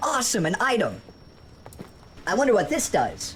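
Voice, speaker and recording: Against clear background noise, a put-on character voice speaks at a fairly high pitch and moderate pace. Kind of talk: game character voice-over. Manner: upbeat, excited.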